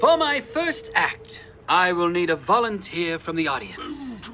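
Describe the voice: Against faint background noise, a man performs a put-on character voice, high in pitch with a bright, sharp tone, big pitch swings and a fairly slow pace.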